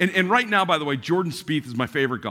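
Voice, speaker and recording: Against a very clean recording with a silent background, a man speaks with vocal fry and a bright, sharp tone. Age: 60s. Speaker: pastor. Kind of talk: sermon. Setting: church.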